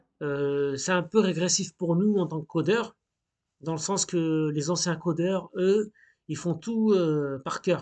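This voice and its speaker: Fairly even intonation against a quiet background. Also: man. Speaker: hobbyist coding tutorial youtuber. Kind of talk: screen-recorded coding tutorial. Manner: casual, hesitant with fillers.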